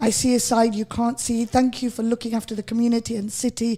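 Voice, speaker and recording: Speaking in a Lancashire accent, a woman uses a fairly high pitch and a dark, mellow tone. She goes at a fairly quick pace with fairly even intonation. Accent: Bolton. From northern England, Bolton. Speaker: radio host. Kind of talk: radio interview.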